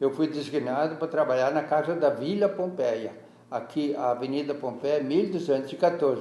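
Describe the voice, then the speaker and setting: Moderate-paced speech from a man, pitched fairly high, with ordinary pitch variation and noticeable background noise. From Rio Grande do Sul, Brazil. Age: 80s+. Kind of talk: interview answer.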